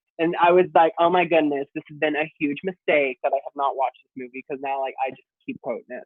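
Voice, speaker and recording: Talking at a very fast pace with hardly any pauses, a man with an American accent has a fairly high pitch, fairly even intonation and big swings in loudness. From Texas. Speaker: drag performer. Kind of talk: casual chat.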